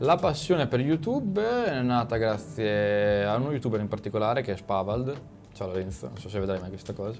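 A man's plain, everyday voice at a medium pitch, lively in intonation and fairly quick in pace. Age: 20s. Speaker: YouTube motorcycle content creator. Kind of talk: casual chat.

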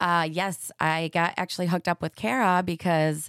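A woman with an American accent and an unremarkable speaking voice speaks at a fairly low pitch with fairly even intonation, in a very clean recording with a silent background and a dry, close sound with no echo. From Michigan. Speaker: vegan food business owner. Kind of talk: casual chat.

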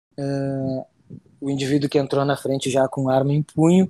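The man's voice has a dark, mellow tone. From Rio Grande do Sul, Brazil (city of Rio Grande). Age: 30s. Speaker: military police officer. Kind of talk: interview, personal testimony. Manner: halting, frequent repetitions.

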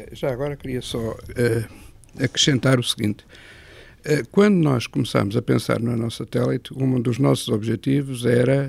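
Medium in pitch, this man has an ordinary speaking voice. He keeps a moderate pace with ordinary pitch variation. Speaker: retired engineering professor. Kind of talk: interview. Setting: satellite ground station room.

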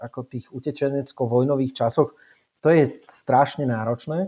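A man's fairly high-pitched voice at a moderate pace, with fairly even intonation. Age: 40s. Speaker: race organizer and ultrarunner. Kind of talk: casual interview. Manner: halting, with many repetitions and fillers.

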